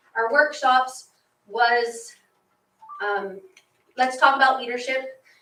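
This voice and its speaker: A woman speaks in a raised, projected voice at a high pitch, with a bright, sharp tone and fairly even intonation. Her pace is very slow, with long, frequent pauses. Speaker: teacher and student group advisor. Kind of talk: report to school board.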